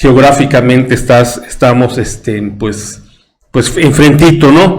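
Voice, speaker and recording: Speaking in a Yucatecan accent at a fairly slow pace, a man shows ordinary pitch variation in a room with audible echo. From Yucatán, Mexico. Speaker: history commentator on a talk show. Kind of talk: casual chat. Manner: halting.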